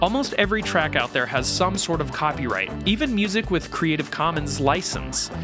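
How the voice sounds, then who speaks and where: A man speaks with hardly any pauses and very even loudness. Music plays in the background. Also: moderate pace. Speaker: video host. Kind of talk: tutorial. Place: studio. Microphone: studio mic.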